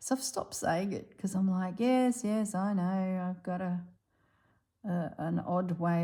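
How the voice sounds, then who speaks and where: A woman with a rural Australian accent, a medium pitch, a dark, mellow tone, a somewhat breathy sound, ordinary pitch variation and a very slow pace. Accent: Australian, country drawl. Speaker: embroidery artist. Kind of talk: casual chat; craft tutorial. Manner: casual, chatty.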